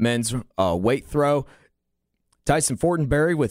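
An ordinary speaking voice goes at a moderate pace with ordinary pitch variation. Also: man. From western North Carolina mountains. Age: 20s. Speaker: college radio co-host. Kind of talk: sports results reading. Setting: studio.

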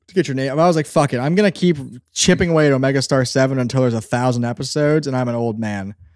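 With an American accent, a man talks at a very fast pace in a medium pitch with ordinary pitch variation. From southeastern Pennsylvania. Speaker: audio drama creator. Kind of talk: casual chat. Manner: animated.

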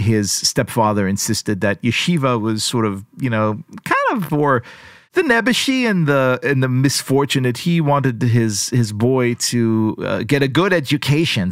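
Medium pitch from a man with a slight Israeli accent, ordinary pitch variation and a moderate pace, on a very clean recording with a silent background. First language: Hebrew. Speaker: journalist and podcaster. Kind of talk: interview conversation.

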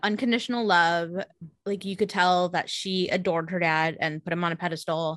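A woman with a Californian accent talks at a fairly quick pace. Her pitch is medium, and the background is quiet. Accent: Californian American English. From California, San Jose. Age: 30s. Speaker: podcast regular guest. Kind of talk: casual chat.

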